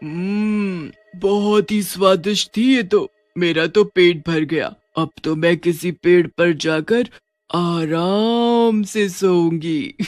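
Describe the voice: A man does a cartoonish character voice at a high pitch and a very slow pace. Faint music plays in the background.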